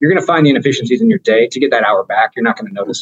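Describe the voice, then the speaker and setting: A man speaks with ordinary pitch variation. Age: 40s. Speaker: real estate finance businessman. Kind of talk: testimony. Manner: halting, many fillers.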